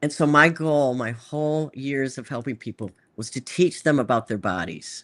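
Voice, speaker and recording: Over a quiet background, a woman with a very deep, low pitch speaks at a moderate pace with lively intonation and big swings in loudness. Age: 60s. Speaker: doctor and device inventor. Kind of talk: casual interview. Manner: halting, with frequent repetitions.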